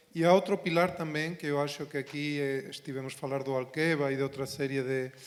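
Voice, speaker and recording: Speaking at a fairly quick pace with a non-native accent, a man uses a fairly high pitch and fairly even intonation. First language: Spanish (speaking Portuguese). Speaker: university professor. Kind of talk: panel discussion.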